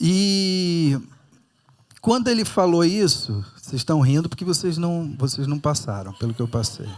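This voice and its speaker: A man's fairly high voice in a Rio de Janeiro accent, at a fairly slow pace with very wide pitch swings. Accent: carioca. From Rio de Janeiro, Brazil. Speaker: pastor. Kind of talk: sermon. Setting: church with audience.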